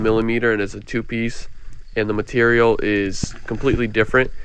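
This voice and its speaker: He is a man with an ordinary speaking voice, a medium pitch and fairly even intonation. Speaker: diving and lure-hunting vlogger. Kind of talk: vlog narration. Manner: casual.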